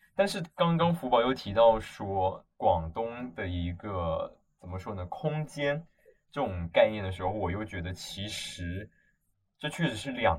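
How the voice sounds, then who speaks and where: At a very slow pace, a man with a fairly low pitch and a somewhat breathy voice makes very wide pitch swings and big swings in loudness. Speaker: podcast co-host, university student. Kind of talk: casual chat.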